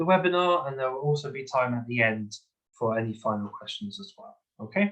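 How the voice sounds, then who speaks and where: With a London accent, a man talks at a moderate pace using lively intonation. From London, England. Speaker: English teacher. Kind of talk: online webinar lecture. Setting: video call.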